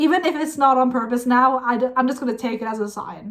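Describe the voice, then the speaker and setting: A woman speaks in a Norwegian accent with an animated tone. Her pitch is high and her pace is moderate. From Norway. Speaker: music reaction youtuber. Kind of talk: casual reaction commentary.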